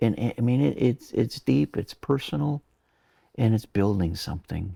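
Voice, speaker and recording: A man speaks fairly slowly at a fairly low pitch with lively intonation. His dark, mellow voice is somewhat breathy, recorded dry and close with no echo. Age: 60s. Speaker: mountaineer and adventurer. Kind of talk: interview. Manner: halting, many repetitions.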